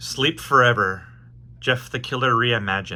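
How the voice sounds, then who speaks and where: At a moderate pace, a man talks with a medium pitch, a bright, sharp tone and vocal fry. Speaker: amateur narrator. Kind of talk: horror story narration.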